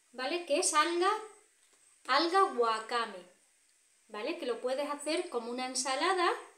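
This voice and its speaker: Audible room echo surrounds a woman's high, bright, sharp voice as she speaks at a fairly slow pace. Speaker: vlogger. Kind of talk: casual vlog chat. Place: home room. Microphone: phone near.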